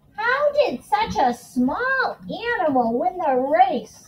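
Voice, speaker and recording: A woman uses a put-on character voice at an extremely high pitch. She moves at a fairly slow pace with very wide pitch swings. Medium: read story. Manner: formal.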